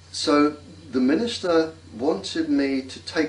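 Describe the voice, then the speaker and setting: A man is talking. His accent is English. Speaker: former navy scientist. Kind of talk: interview. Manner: slow.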